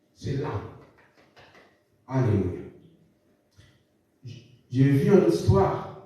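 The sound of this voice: With strong room echo, a man speaks slowly in a dark, mellow tone.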